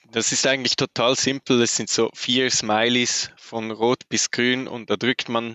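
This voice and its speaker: A man speaks with a Swiss German accent in a monotone, flat intonation. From Switzerland. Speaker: urban mobility planner. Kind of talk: interview.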